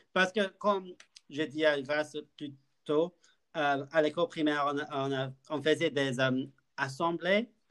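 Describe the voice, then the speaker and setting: A man with a fairly high pitch talks at a very slow pace, leaving long, frequent pauses. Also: fairly even intonation. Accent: English. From UK. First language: English (speaking French). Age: 20s. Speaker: podcast co-host, university student. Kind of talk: casual chat. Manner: halting.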